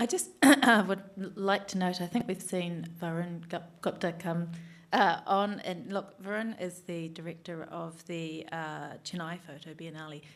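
A woman with an Australian accent speaks fairly slowly at a fairly low pitch, with ordinary pitch variation and big swings in loudness. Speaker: panel chair. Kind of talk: panel moderation. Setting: stage with audience. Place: stage. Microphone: studio mic.

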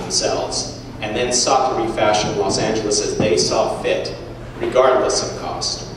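Amid noticeable background noise and strong room echo, a man talks at a moderate pace. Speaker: guest. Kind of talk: lecture. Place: hall. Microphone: camera far.

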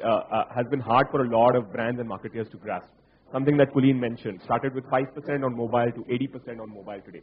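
Talking at a very fast pace, a man comes through. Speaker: panel moderator. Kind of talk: panel discussion. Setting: stage with audience.

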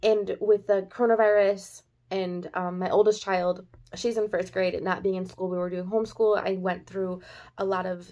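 Over a quiet background, a woman speaks at a moderate pace in a monotone, flat intonation. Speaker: haul vlogger. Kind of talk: casual vlog chat. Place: home room. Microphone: phone near.

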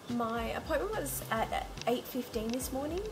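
Noticeable background noise sits behind this recording. The woman in it talks fairly slowly. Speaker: IVF vlogger. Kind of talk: casual vlog chat. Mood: relaxed, occasionally laughing. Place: home room. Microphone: phone near.

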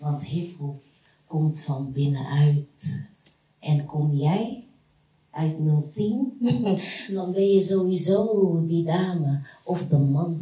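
A woman with a very deep, low voice speaks at a very slow pace with ordinary pitch variation, in audible room echo. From Rotterdam, Netherlands. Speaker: spoken word artist. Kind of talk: spoken word poetry performance. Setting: live stage performance with audience. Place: hall.

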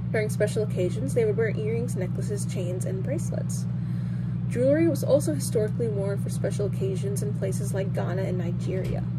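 Against loud background noise, a woman speaks at a very fast pace. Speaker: presenter. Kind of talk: educational presentation. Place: home room. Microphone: earbuds.

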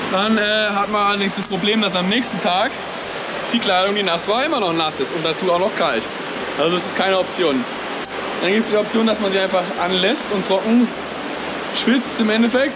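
A man at a fairly quick pace, amid loud background noise. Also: ordinary pitch variation. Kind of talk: casual vlog chat. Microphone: phone near.

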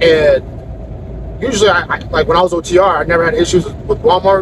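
A man's voice comes through with a dry sound with no echo and noticeable background noise. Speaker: truck driver vlogger. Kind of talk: casual vlog chat. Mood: mildly annoyed, relaxed. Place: car. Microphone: phone near.

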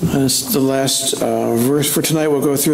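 There is audible room echo as a man talks at a fairly quick pace with fairly even intonation. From Scotland. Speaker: pastor. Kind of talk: sermon. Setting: church. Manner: halting. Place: church. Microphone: podium.

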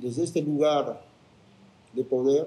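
A man's fairly high voice with a dark, mellow tone at a very slow pace. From Cusco, Peru. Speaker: spiritual guardian of Machu Picchu. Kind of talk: interview answer. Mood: calm, reflective.

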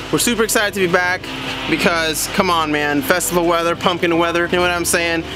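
With clear music in the background, a man talks at a fairly quick pace in a high voice. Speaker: band member vlogger. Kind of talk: casual vlog chat. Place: street. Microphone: phone near.

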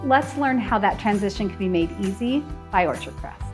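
A woman at a moderate pace, with faint music in the background. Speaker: TV segment host. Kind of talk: presenter to camera. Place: home room. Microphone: lapel.

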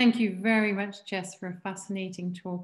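A woman speaks at a moderate pace, somewhat breathy. The background is quiet. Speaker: seminar organizer. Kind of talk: moderating Q&A. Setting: video call. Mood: warm, appreciative. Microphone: video call.

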